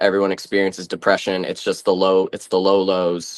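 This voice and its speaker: A man with an American accent speaks at a fairly low pitch. The background is quiet. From Massachusetts, US. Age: 20s. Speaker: interview guest. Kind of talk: interview. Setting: video call.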